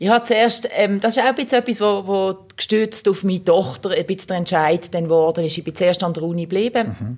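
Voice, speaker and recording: A woman in an ordinary speaking voice talks at a fairly quick pace and medium pitch, with ordinary pitch variation. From Switzerland, Basel (Kleinbasel). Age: 40s. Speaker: police chief and political candidate. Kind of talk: casual interview.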